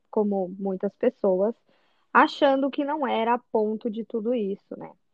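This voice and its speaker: Here is an unremarkable speaking voice. It moves at a fairly slow pace. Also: woman. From Brazil, São José dos Campos, São Paulo state. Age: 20s. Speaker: au pair. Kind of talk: casual chat.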